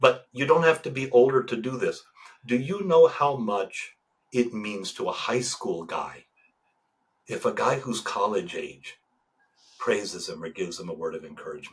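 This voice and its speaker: A man speaks at a moderate pace. He leaves long, frequent pauses, and his loudness swings widely. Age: 60s. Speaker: Orthodox priest and men's coach. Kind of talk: podcast interview. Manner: halting, repetitive starts.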